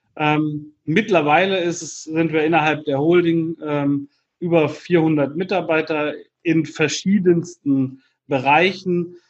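At a very slow pace, a man talks with fairly even intonation and a fairly high pitch. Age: 40s. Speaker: entrepreneur and business mentor. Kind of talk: podcast interview. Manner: hesitant with frequent fillers.

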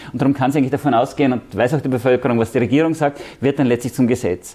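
This man has an ordinary speaking voice, pitched fairly high. His pitch varies in an ordinary way. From Austria, Vienna. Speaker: EU civil servant. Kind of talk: interview.

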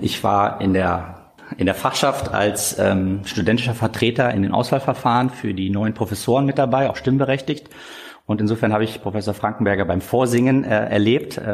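This man has an unremarkable speaking voice, fairly low in pitch with ordinary variation, very even in loudness and at a moderate pace. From Germany, northern Hesse (Korbach). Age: 30s. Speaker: dentist and practice owner. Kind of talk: interview.

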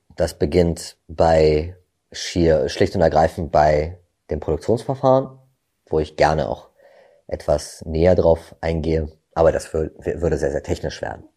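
Over a very clean recording with a silent background, a man with a very deep, low pitch and a dark, mellow tone speaks at a fairly slow pace with lively intonation and long, frequent pauses. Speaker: gin brand ambassador, former bartender and actor. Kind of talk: interview, storytelling.

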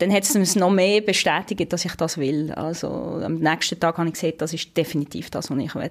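A woman's fairly low voice at a fairly quick pace, with ordinary pitch variation, on a very clean recording with a silent background. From western Switzerland (Romandy). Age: 30s. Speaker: space expert. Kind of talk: interview. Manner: hesitant fillers.

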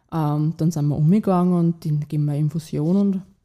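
In an ordinary speaking voice, a woman talks at a moderate pace and fairly low pitch with ordinary pitch variation. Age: 20s. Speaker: young mother sharing her story. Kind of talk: personal testimony in a conversation. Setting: at a host's home, around a table.

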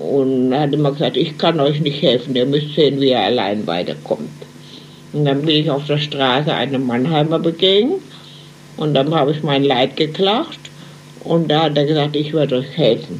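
In a room with audible echo and noticeable background noise, a woman with a very deep, low pitch talks at a moderate pace with very even loudness. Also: ordinary pitch variation. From Germany, Mannheim. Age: 90s. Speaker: emigrant eyewitness. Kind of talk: interview. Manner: halting.

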